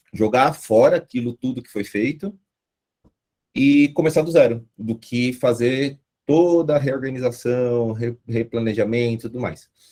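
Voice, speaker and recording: A man speaks at a medium pitch, with ordinary variation in his pitch. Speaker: guest lecturer on agile methods. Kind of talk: online lecture. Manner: casual, animated.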